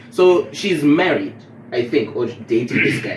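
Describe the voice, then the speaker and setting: A man speaks loudly at a moderate pace with very wide pitch swings over noticeable background noise. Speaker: podcast host. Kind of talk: casual chat. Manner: speaking quieter than usual.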